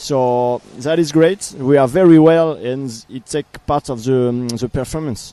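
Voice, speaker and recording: This man speaks very slowly with a French accent at a medium pitch. His intonation stays fairly even. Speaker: para canoe team coach. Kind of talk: interview. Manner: halting.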